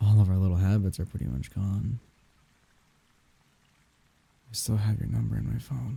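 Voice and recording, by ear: Putting on a character voice, a man talks fast at a fairly low pitch with a dark, mellow tone, a husky, rough edge, vocal fry and fairly even intonation.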